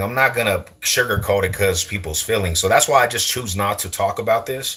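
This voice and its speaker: A man's fairly quick speech with an American accent, a bright, sharp tone and vocal fry. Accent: sounds Californian to viewers. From US West, East Side Denver. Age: 40s. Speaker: streamer. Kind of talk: casual chat. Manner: animated.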